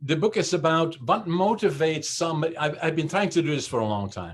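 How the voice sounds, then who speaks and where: With a fairly quick delivery, this man's intonation rises and falls in a lively way. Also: very clean recording, silent background. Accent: Dutch. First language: Dutch. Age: 70s. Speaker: business founder and CEO. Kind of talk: interview. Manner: halting, many fillers.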